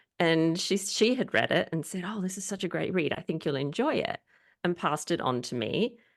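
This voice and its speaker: Here is a woman with an Australian accent and a fairly low pitch. She talks at a fairly quick pace with lively intonation. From Australia, Sydney. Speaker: historian and author. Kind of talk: interview.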